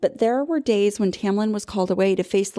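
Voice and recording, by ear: The pitch variation is ordinary in this clip of reading aloud in a natural voice.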